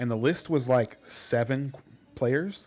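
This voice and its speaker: This is a man's voice at medium pitch. His pitch varies in an ordinary way. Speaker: fantasy football podcast co-host. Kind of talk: casual chat. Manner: loud; halting.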